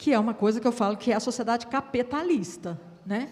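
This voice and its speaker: A woman with a fairly high pitch and a somewhat breathy voice speaks at a moderate pace, her pitch varying in an ordinary way. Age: 60s. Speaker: women's rights council member. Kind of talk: panel discussion.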